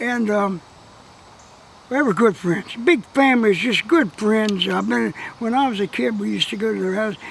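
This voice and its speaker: There is noticeable background noise as a man with an American accent speaks at a moderate pace in a high voice. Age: 80s+. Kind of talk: interview answer. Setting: outdoors.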